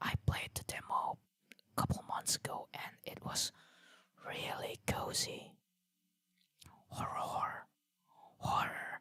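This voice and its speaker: The speaker whispers at a fairly slow pace, with long, frequent pauses. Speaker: vtuber streamer. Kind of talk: game stream commentary. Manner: whispering.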